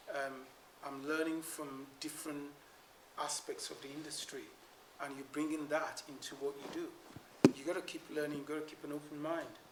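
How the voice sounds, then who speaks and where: A man's fairly high, flat monotone voice with big swings in loudness, audible room echo and noticeable background noise. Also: moderate pace. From West Africa (Nigeria and Sierra Leone), born in London. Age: 60s. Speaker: structural engineer. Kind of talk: Q&A after an award lecture.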